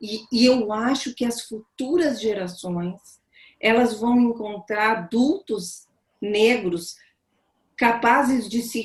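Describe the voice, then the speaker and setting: This woman has a fairly high pitch and a somewhat breathy voice. Her pitch varies in an ordinary way. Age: 60s. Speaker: psychoanalyst. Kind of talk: panel talk on video call. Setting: video call.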